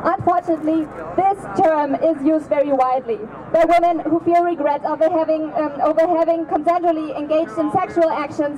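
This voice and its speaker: A woman with a German accent talks at an extremely high pitch and a fairly quick pace, her intonation fairly even. Her loudness stays very even over noticeable background noise. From Germany. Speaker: activist. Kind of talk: rally speech.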